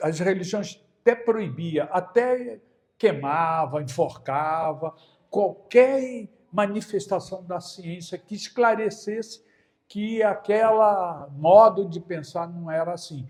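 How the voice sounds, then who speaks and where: Pitched high, a man speaks at a very slow pace with lively intonation. His loudness swings widely. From Brazil. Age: 70s. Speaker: spiritist lecturer. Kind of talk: lecture. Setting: spiritist centre with audience. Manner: conversational.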